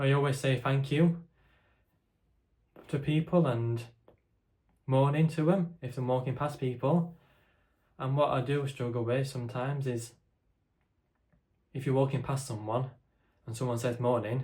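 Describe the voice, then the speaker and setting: Quiet and somewhat breathy, a man with a dark, mellow tone and medium pitch speaks at a moderate pace with fairly even intonation and long, frequent pauses. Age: 20s. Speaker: content creator with a stammer. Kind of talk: casual chat to camera. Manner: halting.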